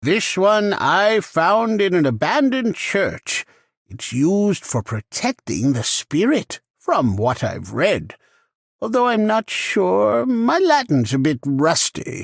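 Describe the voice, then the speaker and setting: This man puts on a character voice pitched high. He speaks at a fairly slow pace with a dry, close sound and no echo. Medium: game stream. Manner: polite, gentle.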